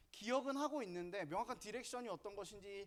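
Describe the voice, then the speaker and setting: A man speaks at a fairly quick pace with a northern Gyeonggi accent. His intonation is lively. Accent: northern Gyeonggi pronunciation, self-noted. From northern Gyeonggi, South Korea. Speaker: Sunday school curriculum lecturer. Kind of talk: lecture. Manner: casual, conversational.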